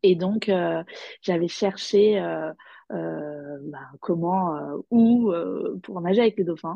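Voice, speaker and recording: A woman speaks in a fairly low pitch for a woman. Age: 30s. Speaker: primary school teacher and small business owner. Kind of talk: personal testimony in interview. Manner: hesitant, many fillers and repetitions.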